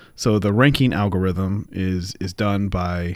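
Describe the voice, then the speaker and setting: A very clean recording, silent in the background, of a man with a fairly low pitch. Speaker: podcast co-host. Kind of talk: casual chat.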